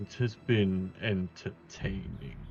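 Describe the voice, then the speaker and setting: Against clear background noise, a man performs a put-on character voice at a very deep, low pitch. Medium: actual play. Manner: unhurried, condescending.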